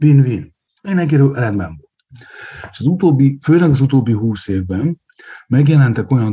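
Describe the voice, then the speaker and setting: The man's voice has a dark, mellow tone and is somewhat breathy. His intonation is lively. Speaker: sports economist, university lecturer. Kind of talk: casual chat.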